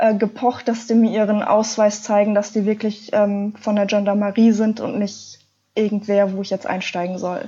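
A woman with a fairly high pitch and a dark, mellow, somewhat breathy tone talks at a moderate pace. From Ruhr area, Germany. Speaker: adventure blogger. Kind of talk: interview.

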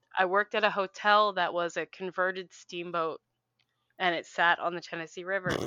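In a quiet background, a woman with an American accent speaks at a fairly quick pace and a medium pitch. Her tone is bright and sharp, her intonation monotone and flat, and the sound is dry and close with no echo. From Philadelphia. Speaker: podcast guest. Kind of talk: casual chat.

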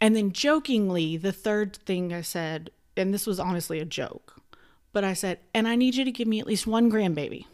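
Medium in pitch, a woman talks in a normal speaking voice at a fairly quick pace. Her pitch variation is ordinary. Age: 30s. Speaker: podcast host. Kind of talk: casual chat. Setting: recording at cousin's house.

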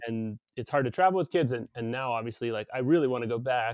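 In an American accent, a man talks in a plain, everyday voice at medium pitch with ordinary pitch variation, recorded dry and close with no echo against a quiet background. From US South (Texas, Tennessee, Arkansas), then Canada from grade six. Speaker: podcast host. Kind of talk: casual interview chat.

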